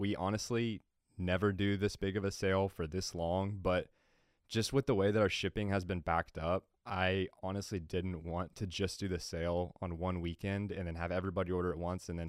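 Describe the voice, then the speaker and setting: A man's very deep, low voice in a flat monotone at a fairly quick pace, on a very clean recording with a silent background. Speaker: podcast host. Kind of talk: casual podcast intro and chat.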